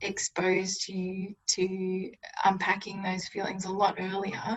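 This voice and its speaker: Talking at a very slow pace, a woman with an Australian accent keeps to a medium pitch. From rural Victoria, Australia. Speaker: podcast guest. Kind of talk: casual chat. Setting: video call.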